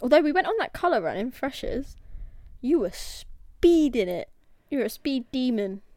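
A woman with a dark, mellow tone and high pitch speaks at a moderate pace, her pitch swinging very widely. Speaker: podcast co-host. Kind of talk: casual chat.

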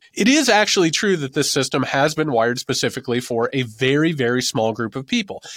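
A man talks with very wide pitch swings. The recording is very clean, with a silent background and a dry, close sound with no echo. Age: 40s. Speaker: author and political podcaster. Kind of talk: interview.

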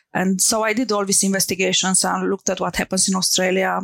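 On a very clean recording with a silent background, a woman talks fairly quickly at a medium pitch. Her delivery is monotone and flat, with vocal fry. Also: dry, close sound with no echo. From Romania. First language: Romanian. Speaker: tech founder. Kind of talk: interview. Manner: halting, many fillers.

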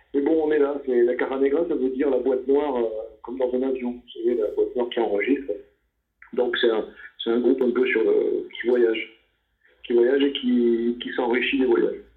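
A man talks at a moderate pace, leaving long pauses often. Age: 50s. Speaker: jazz saxophonist. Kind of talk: interview. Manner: halting, many repetitions and fillers.

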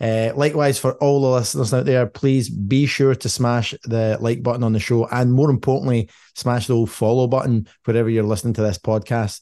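A man's dark, mellow voice moves at a fairly quick pace with hardly any pauses. His intonation is fairly even, and the background is quiet. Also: medium pitch for a man. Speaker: podcast host. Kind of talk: casual chat. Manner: jokey, laughs often.

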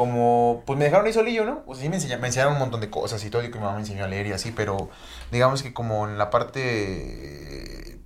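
A medium-pitched man with a Mexican accent, very fast and lively in intonation, with big swings in loudness and audible room echo. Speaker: podcast co-host. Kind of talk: casual chat.

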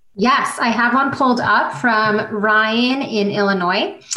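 A woman's animated, warm-toned voice, fairly high in pitch with ordinary pitch variation, over noticeable background noise. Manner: animated, cheery and chatty, warm and enthusiastic, with laughs and exclamations.

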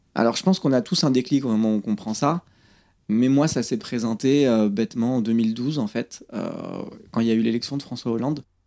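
Dark and mellow in tone, a man speaks with ordinary pitch variation. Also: medium pitch for a man, fairly quick pace. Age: 30s. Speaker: magnetic healer, former train steward. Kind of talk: interview conversation. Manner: hesitant, with fillers and repetitions.

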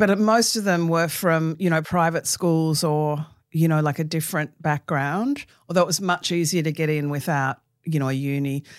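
With an Australian accent, the speaker talks at a moderate pace. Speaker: author. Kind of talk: interview. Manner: animated.

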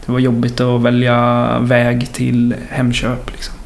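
Male speech with noticeable background noise and audible room echo. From western Sweden (Mark municipality, Västergötland). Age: 20s. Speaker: musician. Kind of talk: casual chat.

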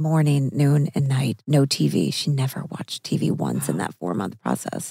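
With an American accent, a woman speaks in a dark, mellow tone with vocal fry and very wide pitch swings, in a dry, close sound with no echo. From US Midwest (Missouri). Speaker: actress and podcast host. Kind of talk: casual chat.

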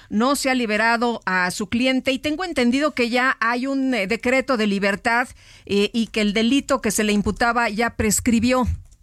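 Recorded very cleanly with a silent background and a dry, close sound with no echo, a woman uses an unremarkable speaking voice, fairly high in pitch, at a moderate pace, with very even loudness and ordinary pitch variation. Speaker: radio co-host. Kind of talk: news radio interview.

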